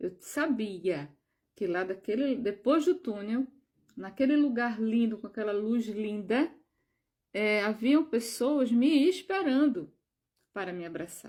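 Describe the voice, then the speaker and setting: Speaking at a very slow pace with long, frequent pauses, a woman uses lively intonation, a fairly high pitch and a dark, mellow tone. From Brazil, João Pessoa (Northeast). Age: 60s. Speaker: spiritual video creator. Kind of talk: personal testimony.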